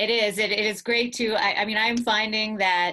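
With an American accent, a woman talks at a moderate pace and a medium pitch, her tone bright and sharp against a quiet background. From US. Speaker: museum director and interviewer. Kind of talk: interview. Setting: video call. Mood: warm, earnest. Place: home room. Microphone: earbuds.

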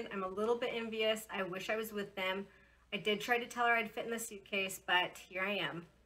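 Faint music plays behind a woman who talks at a fairly quick pace with ordinary pitch variation. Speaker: presenter. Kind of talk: casual announcements. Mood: cheerful, friendly. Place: home room. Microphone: phone near.

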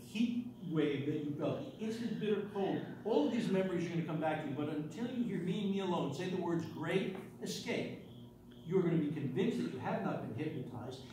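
A man talks at a fairly quick pace with a high pitch and lively intonation. Noticeable background noise and audible room echo fill the recording. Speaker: stage hypnotist. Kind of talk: stage hypnosis show, giving hypnotic suggestions and post-hypnotic commands. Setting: stage with live audience. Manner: commanding, reassuring, with occasional quick asides to the audience. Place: hall. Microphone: camera far.

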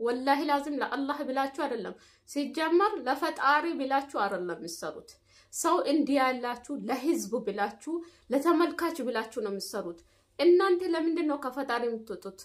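Against a quiet background, the voice moves through very wide pitch swings. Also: woman. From Ethiopia. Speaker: YouTuber, domestic worker in the Gulf; vlogger reacting to a video. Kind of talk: vlog monologue with advice. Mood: indignant, critical. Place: home room. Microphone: phone near.

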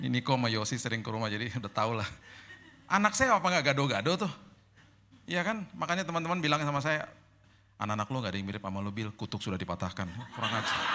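A man talks at a very fast pace in a bright, sharp tone, his pitch swinging very widely. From Indonesia, Manado and Indian family; Indonesia. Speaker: pastor. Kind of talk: sermon. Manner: casual. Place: hall. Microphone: handheld.

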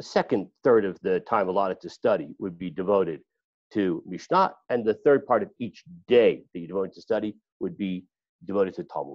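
A man's normal speaking voice, fairly low in pitch and fairly quick, with big swings in loudness, a dry sound with no echo, and a quiet background. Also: lively intonation. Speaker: class teacher. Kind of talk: lecture. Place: home room. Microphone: video call.

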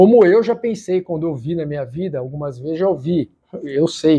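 A man's voice at a fairly high pitch. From Brazil. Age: 40s. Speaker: YouTuber sharing faith experience. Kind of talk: testimony. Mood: earnest, heartfelt. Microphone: lapel.

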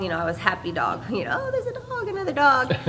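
Light background noise sits under a woman's voice. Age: 40s. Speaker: professional MMA fighter. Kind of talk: media day interview. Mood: calm, upbeat. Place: hall.

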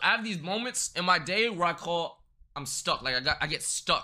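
A man speaks at a moderate pace with a bright, sharp tone and vocal fry. His pitch swings very widely over a quiet background. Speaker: streamer. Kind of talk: casual stream chat. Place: home room.

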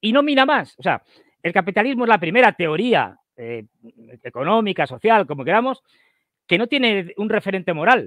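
The speech moves at a moderate pace with long, frequent pauses and very wide pitch swings. The sound is dry with no echo, and the background is quiet. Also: man. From Spain. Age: 60s. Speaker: geopolitical analyst. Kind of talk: casual interview. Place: home room. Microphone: headset.

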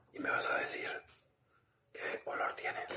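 Loud background noise fills the recording. The speaker is soft-spoken and talks at a fairly quick pace. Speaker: ASMR creator. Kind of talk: soft ASMR talk, mock rune reading. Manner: soft close ASMR speaking.

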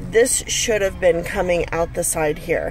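A woman talks at a very slow pace over light background noise, the sound dry with no echo. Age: 40s. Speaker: stay-at-home mom. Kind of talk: casual product review to camera. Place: car. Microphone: phone near.

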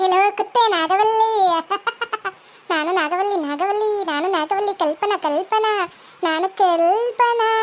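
In a put-on character voice, a female-sounding speaker goes at a fairly slow pace with an extremely high pitch. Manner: acting crazy, possessed.

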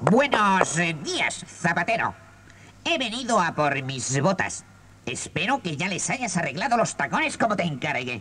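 A man's high-pitched voice at a moderate pace, with very wide pitch swings and clear background noise. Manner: gruff, threatening.

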